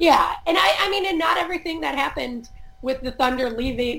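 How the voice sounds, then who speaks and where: Speaking at a fairly quick pace with an American accent, a woman uses a high pitch and lively intonation. Noticeable background noise runs underneath. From US Midwest, Chicago suburbs. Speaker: sports journalist. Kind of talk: casual chat.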